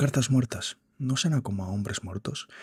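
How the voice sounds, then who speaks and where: At a moderate pace, a somewhat breathy man talks with ordinary pitch variation in a dry, close recording with no echo. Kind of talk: reading a book aloud, practicing speech.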